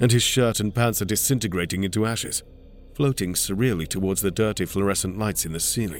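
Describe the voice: Someone is doing plain reading aloud.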